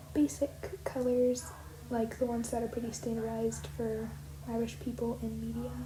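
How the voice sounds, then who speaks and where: Background noise is noticeable and room echo can be heard. Through it, a woman speaks at a moderate speed. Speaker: art youtuber. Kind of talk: casual voiceover commentary. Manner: soft-spoken; halting, filler-heavy.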